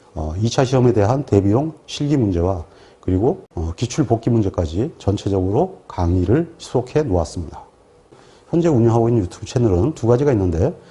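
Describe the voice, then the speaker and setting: A somewhat breathy man's voice, dark and mellow in tone, medium in pitch, fairly quick, with very wide pitch swings. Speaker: exam prep instructor. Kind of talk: lecture. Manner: formal.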